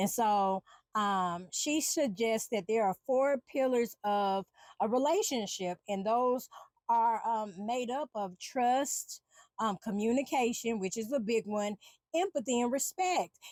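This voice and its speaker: Lively intonation marks this woman's fairly high voice at a fairly slow pace. The sound is dry and close, with no echo. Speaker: podcast host and empowerment coach. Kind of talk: solo podcast monologue. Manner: loud; halting, many fillers and restarts.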